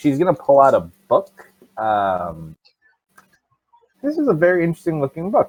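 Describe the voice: The voice moves at a moderate pace with very wide pitch swings and a slightly mellow tone. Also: man, fairly high pitch for a man.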